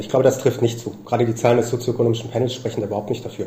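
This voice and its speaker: Noticeable background noise sits behind this man. His voice has a medium pitch. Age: young. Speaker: sociologist. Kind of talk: interview. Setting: remote call. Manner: halting, many fillers.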